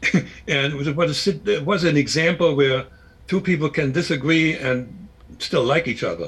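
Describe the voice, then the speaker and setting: A man with a fairly high pitch speaks with vocal fry. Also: ordinary pitch variation, moderate pace. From Germany (East Germany). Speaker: former spy and author. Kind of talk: interview. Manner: halting, many repetitions.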